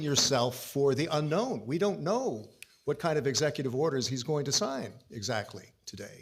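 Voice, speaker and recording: An American-accented man talks at a moderate pace in a fairly high-pitched, somewhat breathy voice. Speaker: interviewer. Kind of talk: interview.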